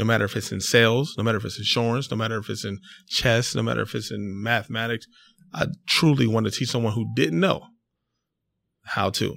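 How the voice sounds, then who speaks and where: A man with a medium-pitched voice and vocal fry talks at a fairly quick pace with long, frequent pauses and ordinary pitch variation, in a very clean recording with a silent background. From Delaware. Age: 30s. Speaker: entrepreneur. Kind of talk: casual interview.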